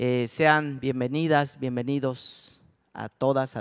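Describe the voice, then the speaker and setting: A man with a medium pitch speaks at a very slow pace in a Chiapas accent. His intonation is fairly even, and the sound is dry and close with no echo. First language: Tzotzil (speaking Spanish). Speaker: speaker at a culture festival. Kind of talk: conference talk.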